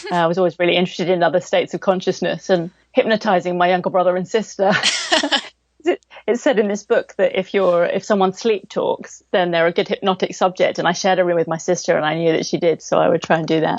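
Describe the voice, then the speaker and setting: A woman talks very fast with an English accent. Her pitch sits in the middle range. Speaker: cognitive hypnotherapist. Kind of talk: interview. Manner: fast, animated; loud.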